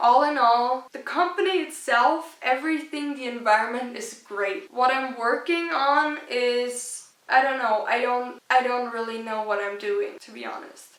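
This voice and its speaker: A woman with a German accent talks at a fairly slow pace, her high pitch showing ordinary variation. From rural Austria. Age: young. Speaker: YouTuber. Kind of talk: casual vlog talk.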